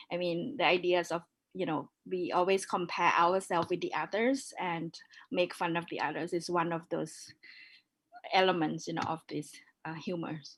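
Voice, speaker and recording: Her voice is fairly low in pitch, and this woman speaks at a moderate pace with ordinary pitch variation. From Thailand, northern minority background. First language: Yong. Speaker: curator. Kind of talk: panel discussion.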